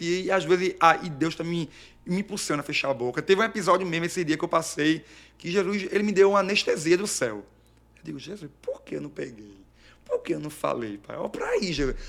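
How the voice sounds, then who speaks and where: In an animated tone, a man with a high pitch talks very fast, his loudness swinging widely while his pitch varies in an ordinary way. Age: 30s. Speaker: evangelical preacher. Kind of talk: testimony.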